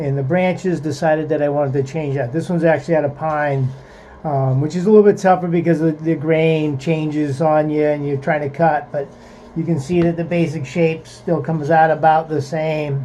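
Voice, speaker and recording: Against noticeable background noise, a man speaks at a fairly high pitch with monotone, flat intonation. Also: fairly quick pace. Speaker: woodworking craftsman. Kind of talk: workshop tutorial. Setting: outdoor workshop. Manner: casual, halting with fillers.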